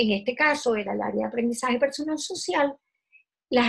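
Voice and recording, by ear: Here a woman talks at a fairly high pitch with ordinary pitch variation. Her voice has vocal fry and a slightly husky edge.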